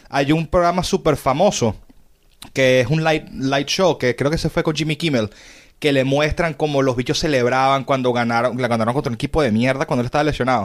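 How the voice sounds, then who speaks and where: A man with a Venezuelan accent at a fairly quick pace, with very even loudness, in a very clean recording with a silent background. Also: fairly high pitch for a man, ordinary pitch variation. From Venezuela, Caracas. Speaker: podcast host. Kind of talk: casual chat.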